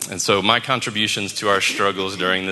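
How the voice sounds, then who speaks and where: A man speaks with a very deep, low pitch and an American accent at a moderate pace. Noticeable background noise is present. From US South, New Orleans. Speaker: church member sharing testimony. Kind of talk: testimony.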